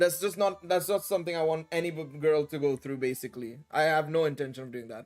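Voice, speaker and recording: A man with an American accent and a fairly high pitch rushes along at a very fast pace with hardly any pauses and big swings in loudness, music playing in the background. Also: ordinary pitch variation. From India. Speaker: gaming streamer. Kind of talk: livestream chat. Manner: halting.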